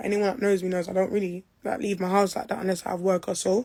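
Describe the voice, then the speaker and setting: A woman speaks at a very fast pace. Her medium-pitched voice has a dark, mellow tone. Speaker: person making allegations. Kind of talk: personal testimony.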